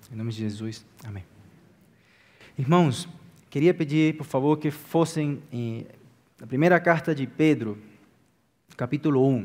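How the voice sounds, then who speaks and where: Pausing long and often, a man talks at a fairly slow pace and fairly high pitch, with ordinary pitch variation and big swings in loudness. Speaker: pastor. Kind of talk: sermon.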